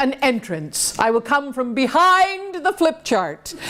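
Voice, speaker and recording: Noticeable background noise sits behind the speaker. She is a woman with a high pitch. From Canada, Toronto. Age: 50s. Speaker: motivational speaker. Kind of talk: motivational talk to audience. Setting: stage with audience. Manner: animated.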